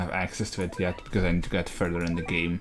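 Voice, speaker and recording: Music plays in the background. A man speaks at a very fast pace. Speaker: gaming YouTuber. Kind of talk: let's play commentary.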